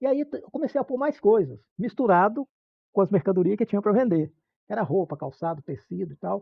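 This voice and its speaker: A man's high voice swings very widely in pitch as he talks at a fairly quick pace. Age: 70s. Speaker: retired shopkeeper and collector. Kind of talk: interview. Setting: in his shop. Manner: halting.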